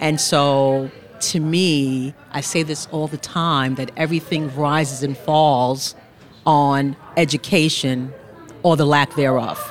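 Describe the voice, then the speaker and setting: This woman's pitch is very deep and low. Her intonation stays fairly even. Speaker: appellate judge.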